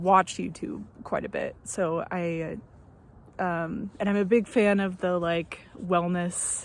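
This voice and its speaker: Speaking at a very slow pace with long, frequent pauses, a woman uses a medium pitch in a very clean recording with a silent background. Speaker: first-time vlogger. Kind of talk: casual vlog monologue. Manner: hesitant, many fillers.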